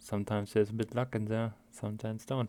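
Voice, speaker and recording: A man with a strong German accent speaks in a very clean recording with a silent background. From Germany. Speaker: video game streamer. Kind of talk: gameplay commentary. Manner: halting, many fillers.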